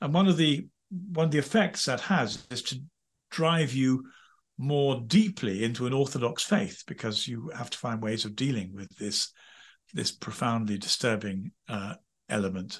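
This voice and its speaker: Somewhat breathy, a man with a medium pitch talks at a moderate pace. His pitch swings very widely over a quiet background. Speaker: former priest and royal chaplain. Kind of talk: interview. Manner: halting.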